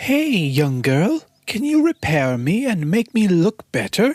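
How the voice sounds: Faint music plays behind a woman doing a put-on character voice, fairly low in pitch with a slightly mellow tone, big pitch swings and a slow pace.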